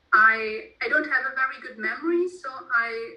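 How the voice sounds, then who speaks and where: The speaker talks at a fairly quick pace with ordinary pitch variation. The voice carries a German accent. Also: woman. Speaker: author. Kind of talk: interview. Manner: halting.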